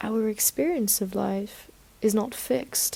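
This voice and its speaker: Somewhat breathy and dark, mellow in tone, a woman's fairly high voice unfolds at a fairly slow pace. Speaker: podcast host. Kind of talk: motivational podcast monologue.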